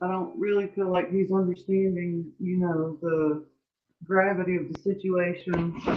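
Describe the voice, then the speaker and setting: Soft-spoken delivery at a fairly slow pace. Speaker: panel participant. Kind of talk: casual panel discussion. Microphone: too quiet, turned up.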